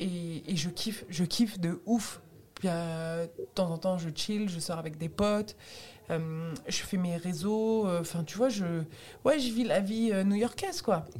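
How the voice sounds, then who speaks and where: A woman's somewhat breathy voice with a dark, mellow tone, medium pitch, ordinary pitch variation and a very slow pace. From Tunisian heritage, raised in France. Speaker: stand-up comedian. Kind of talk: casual interview chat.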